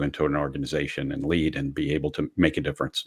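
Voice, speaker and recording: With an American accent, a man speaks in a very deep, low pitch and monotone, flat intonation, the sound dry and close with no echo. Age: 60s. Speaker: career transition expert. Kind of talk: podcast interview. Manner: halting, many fillers.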